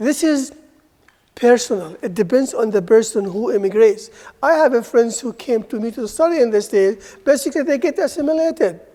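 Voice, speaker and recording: Lively intonation at a moderate pace in an Arabic accent. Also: woman. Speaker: university lecturer. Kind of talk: lecture.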